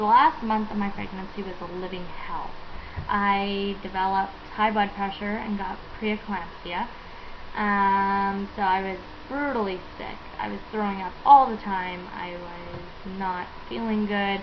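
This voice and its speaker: Noticeable background noise and audible room echo surround a woman speaking fairly slowly at a medium pitch. Her intonation stays fairly even while her loudness swings widely. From Canada, British Columbia. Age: 20s. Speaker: vlogger. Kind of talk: casual vlog talk. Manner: hesitant, many fillers.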